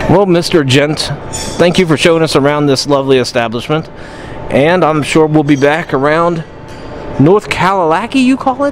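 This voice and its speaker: Music plays in the background as a man with a fairly high pitch speaks at a moderate pace with ordinary pitch variation. His loudness is very even, and he takes long, frequent pauses. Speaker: travel vlogger. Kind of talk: casual vlog chat.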